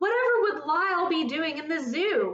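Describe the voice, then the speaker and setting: An extremely high, squeaky put-on character voice from a woman, with lively intonation. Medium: read story. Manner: polite, anxious.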